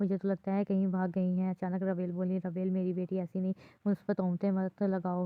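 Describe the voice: Just plain reading aloud, nothing more.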